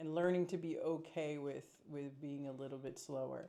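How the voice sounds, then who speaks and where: A woman's very deep, low voice, dark and mellow in tone, at a fairly slow pace. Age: 40s. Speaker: expat vlogger. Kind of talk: casual chat. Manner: halting.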